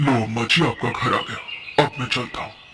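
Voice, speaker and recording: In a cartoonish character voice, a man talks at a fairly quick pace over clear background noise. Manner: gentle, calm.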